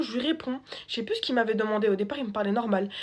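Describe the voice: Speaking very fast, a woman uses a fairly high pitch with ordinary pitch variation.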